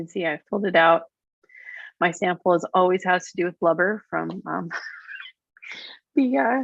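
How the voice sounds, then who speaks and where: Pausing long and often, a woman speaks at a moderate pace in a fairly low pitch with vocal fry and ordinary pitch variation. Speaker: conference executive director. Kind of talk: tutorial. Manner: hesitant, many fillers.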